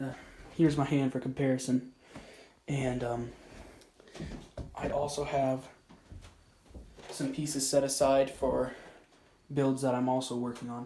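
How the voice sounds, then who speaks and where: A man whispers at a fairly slow pace, leaving long, frequent pauses. Noticeable background noise sits behind him. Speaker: hobby YouTuber. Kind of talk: casual vlog. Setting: outdoors. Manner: whispering; halting.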